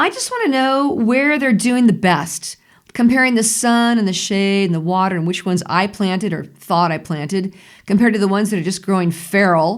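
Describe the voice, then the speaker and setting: On a very clean recording with a silent background, a woman uses a normal speaking voice at a medium pitch, a fairly quick pace and ordinary pitch variation. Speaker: vlogger. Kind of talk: casual talk to camera.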